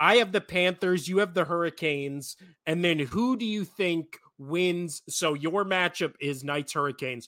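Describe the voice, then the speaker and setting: His tone is bright and sharp, pitched high for a man with ordinary variation. The man speaks with hardly any pauses. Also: moderate pace. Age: 30s. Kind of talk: casual chat. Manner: animated.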